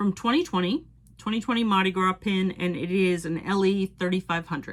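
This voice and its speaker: Ordinary pitch variation with a slight Cape Cod accent, on a very clean recording with a silent background. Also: woman. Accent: Cape Cod (Boston area) accent, slight. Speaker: Disney pin collector YouTuber. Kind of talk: casual show-and-tell video. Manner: casual, with fillers like um.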